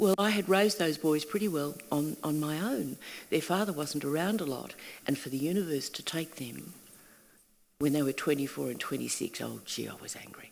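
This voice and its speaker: A woman with an Australian accent speaks at a moderate pace in a very deep, low voice with vocal fry and ordinary pitch variation. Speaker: singing teacher and workshop facilitator. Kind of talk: panel conversation. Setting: stage with audience.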